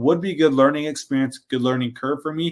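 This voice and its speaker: On a very clean recording with a silent background, a man with an American accent talks at a very fast pace. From US Pacific Northwest. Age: 20s. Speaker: power lineman and trade educator. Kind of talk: podcast interview.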